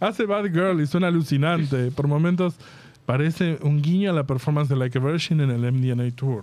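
A man speaks at a moderate pace with a fairly high pitch, ordinary pitch variation, and very even loudness. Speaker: podcast host. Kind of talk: casual chat.

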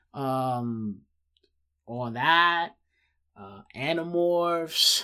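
Bright and sharp in tone, a fairly high-pitched man speaks with lively intonation in a very clean recording with a silent background. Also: long, frequent pauses. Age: 30s. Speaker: podcast host and part-time streamer. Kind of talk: casual solo commentary. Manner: many filler words.

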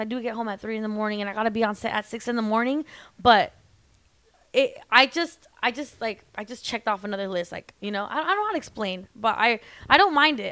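A woman with an American accent, fairly high-pitched with a bright, sharp tone, at a very fast pace with ordinary pitch variation. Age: 20s. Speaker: celebrity nail tech. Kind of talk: casual chat.

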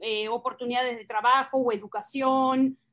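Spoken at a fairly slow pace with fairly even intonation, this voice sits against a quiet background. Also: woman. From Argentina, south of Buenos Aires province. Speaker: teacher and single mother sharing her story. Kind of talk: interview testimony. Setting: live stream. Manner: direct.

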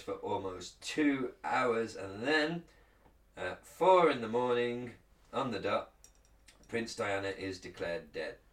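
With an English accent, a man talks at a fairly slow pace, with medium pitch and ordinary pitch variation. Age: 30s. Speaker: podcast co-host. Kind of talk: reading aloud; casual chat. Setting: studio, streamed live on video.

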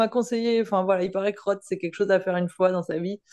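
A dark, mellow tone at a fairly quick pace with ordinary pitch variation. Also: woman, quiet background. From Paris region, France. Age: 30s. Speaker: firefighter and amateur triathlete. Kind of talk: casual interview chat.

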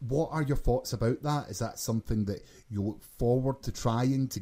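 With a Glasgow accent, a man speaks at a moderate pace in a dark, mellow tone and fairly even intonation. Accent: Scottish (Glaswegian). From Glasgow, Scotland. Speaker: podcast co-host. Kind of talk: casual chat, podcast.

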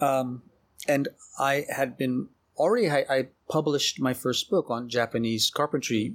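A man with an American accent speaks at a moderate pace in an unremarkable speaking voice, fairly high in pitch with ordinary pitch variation. His loudness is very even, on a very clean recording with a silent background. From US South, New Orleans. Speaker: architecture researcher and author. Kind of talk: interview conversation.

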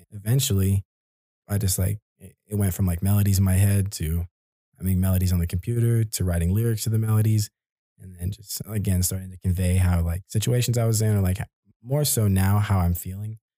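A man with a fairly low, somewhat breathy voice and a dark, mellow tone talks at a fairly quick pace with fairly even intonation and big swings in loudness, in a dry, close sound with no echo. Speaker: college student and musician. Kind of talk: casual chat. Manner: halting, many fillers.

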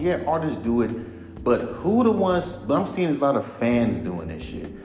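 A man's pitch swings very widely while music plays in the background. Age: 30s. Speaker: rapper and podcast host. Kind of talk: casual solo rant. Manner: animated.

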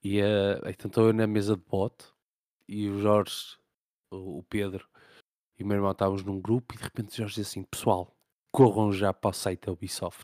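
A man with a European Portuguese accent speaks at a moderate pace in a fairly low pitch, his tone dark and mellow and his intonation monotone and flat, with long, frequent pauses, big swings in loudness, and a dry, close sound with no echo on a very clean recording with a silent background. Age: 30s. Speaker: gaming podcast host. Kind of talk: casual chat.

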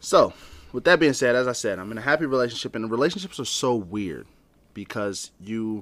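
Speaking at a fairly quick pace with an unremarkable speaking voice, a man of medium pitch shows ordinary pitch variation and big swings in loudness on a very clean recording with a silent background. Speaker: podcast co-host. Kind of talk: casual chat.

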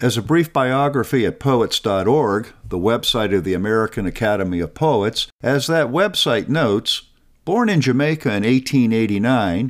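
Lively in intonation, a man uses a plain, everyday voice at medium pitch and a moderate pace. The recording is very clean, with a silent background. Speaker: podcast host and scholar. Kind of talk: educational talk, scripted narration. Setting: studio. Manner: formal, measured.

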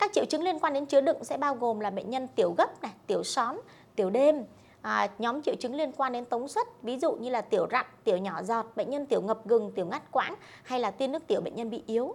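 Very fast and high-pitched, a woman talks with lively intonation. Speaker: doctor. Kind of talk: medical Q&A. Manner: hesitant fillers.

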